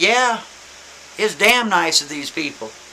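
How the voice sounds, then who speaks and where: Using a put-on character voice, a man speaks in a high pitch at a fairly slow pace, with clear background noise behind him. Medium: solo performance.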